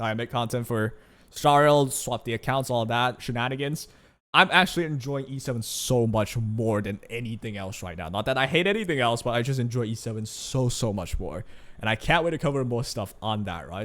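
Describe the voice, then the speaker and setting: This voice carries a Chinese accent at a fairly quick pace. The recording is very clean, with a silent background. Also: man, medium pitch for a man, lively intonation. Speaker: gaming YouTuber. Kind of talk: casual commentary. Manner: casual, conversational.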